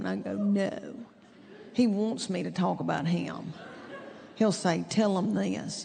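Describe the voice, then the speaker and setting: Over noticeable background noise, a woman with a Southern US accent speaks at a very slow pace, with long, frequent pauses. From East Tennessee. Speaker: stand-up comedian. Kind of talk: stand-up comedy routine.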